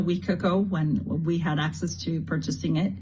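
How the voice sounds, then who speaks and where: With audible room echo, a woman speaks at a fairly low pitch and moderate pace in a dark, mellow tone with vocal fry and fairly even intonation. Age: 60s. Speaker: customer giving testimony. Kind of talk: testimony.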